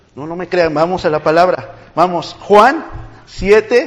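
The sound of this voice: At a slow pace, a man speaks with a high pitch.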